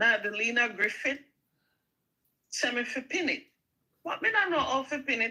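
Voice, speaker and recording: At a moderate pace, a woman speaks in a raised, projected voice at a high pitch, with lively intonation, a bright, sharp tone and long, frequent pauses. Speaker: small YouTuber. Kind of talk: casual chat.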